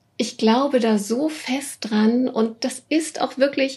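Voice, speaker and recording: A woman's high-pitched voice with a dark, mellow tone and fairly even intonation over a quiet background. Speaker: business coach for female leaders. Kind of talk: interview. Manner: warm and cheerful.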